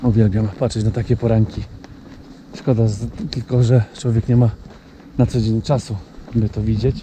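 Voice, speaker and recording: A man speaks at a moderate pace with monotone, flat intonation. There's light background noise, and the sound is dry with no echo. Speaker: wildlife photographer vlogger. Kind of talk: casual vlog chat. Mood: calm, admiring. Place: open country. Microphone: phone near.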